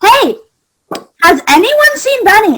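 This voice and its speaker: This is a put-on character voice, squeaky and at an extremely high pitch. Its pitch swings are very wide. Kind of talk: mock-formal parliamentary speech. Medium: stage play. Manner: officious.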